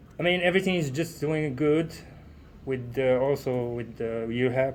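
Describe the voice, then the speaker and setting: Speaking with a non-native accent, a man keeps a moderate pace at a medium pitch with ordinary pitch variation. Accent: foreign. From Morocco. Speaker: trucking student driver. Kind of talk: casual interview chat. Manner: halting, many fillers.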